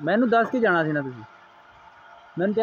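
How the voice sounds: Delivered at a moderate pace, the voice carries a slightly husky edge and ordinary pitch variation. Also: man.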